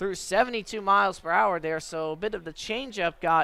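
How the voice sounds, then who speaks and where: A man projects a raised voice at a high pitch. His tone is bright and sharp, with ordinary pitch variation. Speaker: radio sports play-by-play announcer. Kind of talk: radio baseball play-by-play.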